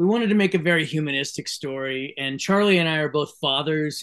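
The speech goes at a very fast pace with ordinary pitch variation. The background is quiet. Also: man. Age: 50s. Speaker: film director. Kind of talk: casual interview. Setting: video call. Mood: earnest, heartfelt. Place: home room. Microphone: video call.

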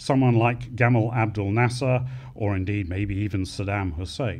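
A man speaks in a somewhat breathy voice. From United Kingdom. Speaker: retired air force officer; conference speaker. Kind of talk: conference closing speech. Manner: formal. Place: hall. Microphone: podium.

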